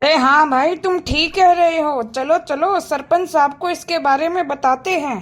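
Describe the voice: In a very clean recording with a silent background, a woman does a cartoonish character voice at an extremely high pitch and a moderate pace.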